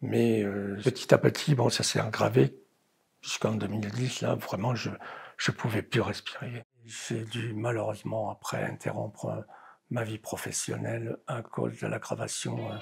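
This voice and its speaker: A man's fairly low voice with vocal fry, ordinary pitch variation and a fairly slow pace. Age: 70s. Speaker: patient. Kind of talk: testimony. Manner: halting.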